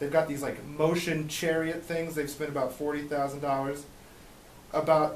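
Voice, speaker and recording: Light background noise and audible room echo surround a man with a fairly high pitch. He speaks at a fairly slow pace with flat, monotone intonation. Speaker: legal defense coordinator; radio interview guest or host. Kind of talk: radio interview. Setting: studio. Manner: halting. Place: studio.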